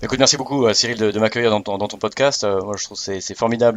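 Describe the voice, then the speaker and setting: A man's fairly low voice with fairly even intonation over noticeable background noise. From Alsace, France, with American mother. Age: 40s. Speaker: business school training project manager. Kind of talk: podcast interview. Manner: hesitant, many fillers and repetitions.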